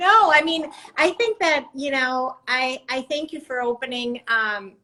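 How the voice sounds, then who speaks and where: In a Spanish accent, a woman speaks at a fairly slow pace. Her high-pitched tone is bright and sharp. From Mexico City. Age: 50s. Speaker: artist. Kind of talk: casual chat. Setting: live stream.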